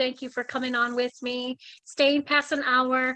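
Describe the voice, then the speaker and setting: The voice is raised and projected, with a bright, sharp tone, monotone, flat intonation and a fairly slow pace, in a dry, close sound with no echo. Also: woman. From Hawaii. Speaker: talk show host. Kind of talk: casual interview chat.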